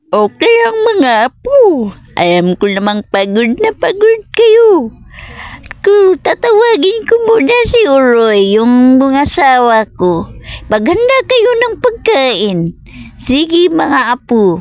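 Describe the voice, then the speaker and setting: Putting on a cartoonish character voice, a woman speaks at a very slow pace with a high pitch, very wide pitch swings and very even loudness. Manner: sweet-talking, coaxing.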